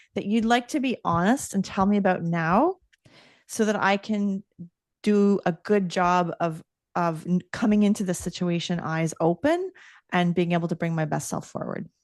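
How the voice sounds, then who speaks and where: A plain, everyday voice with ordinary pitch variation moves at a moderate pace over a quiet background, with a dry, close sound and no echo. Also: woman. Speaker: leadership coach and author. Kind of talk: casual interview chat.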